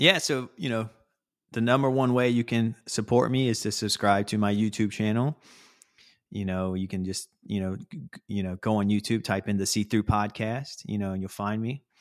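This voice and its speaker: The recording is very clean, dry and close, with a silent background and no echo. A man speaks at a fairly low pitch with fairly even intonation. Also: moderate pace. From US South, North Carolina. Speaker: podcast host and video editor, visually impaired. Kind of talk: casual interview chat. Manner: halting, many fillers.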